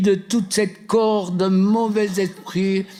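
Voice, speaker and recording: A man's high-pitched voice, very slow and monotone, flat in intonation, with noticeable background noise. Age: 80s+. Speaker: deliverance minister. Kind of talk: deliverance prayer. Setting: seminar with live audience. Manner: commanding.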